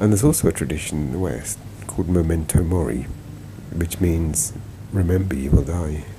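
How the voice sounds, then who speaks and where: At a fairly quick pace broken by long, frequent pauses, a man's very deep, low voice comes through noticeable background noise. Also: ordinary pitch variation. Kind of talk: travel and health vlog narration. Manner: mumbling, groggy.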